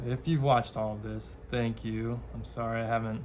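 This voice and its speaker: The man mumbles at a moderate pace. Audible room echo surrounds his voice. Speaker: book vlogger. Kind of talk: casual chat. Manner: mumbling.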